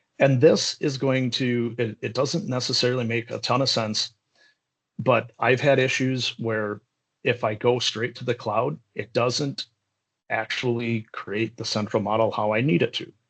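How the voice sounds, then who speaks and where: A plain, everyday voice from a man, medium-pitched, fairly slow, with ordinary pitch variation. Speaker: software trainer. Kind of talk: live tutorial. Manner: casual.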